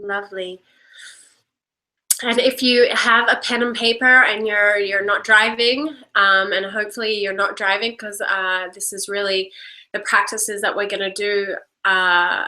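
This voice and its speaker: A woman speaks with an American accent and a bright, sharp tone. Her loudness swings widely. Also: medium pitch for a woman, fairly even intonation, fairly slow pace. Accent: Australian, muddled by years in Los Angeles. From Australia. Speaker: workshop leader and coach. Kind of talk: live online workshop with guided reflection. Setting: live video stream. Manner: hesitant, many fillers.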